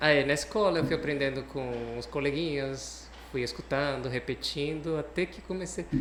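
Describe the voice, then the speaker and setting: A man talks at a moderate pace with a Cuban accent, leaving hardly any pauses. Audible room echo surrounds his voice. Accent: foreign (Cuban Spanish) accent in Portuguese. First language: Spanish (speaking Portuguese). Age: young. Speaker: guest on a talk show, psychology professional. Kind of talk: interview.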